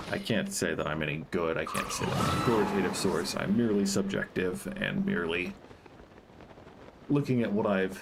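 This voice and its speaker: Audible room echo and noticeable background noise surround a man speaking at a moderate pace. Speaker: gaming streamer. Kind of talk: casual gameplay livestream commentary. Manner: speaking more quietly than normal; careful enunciation.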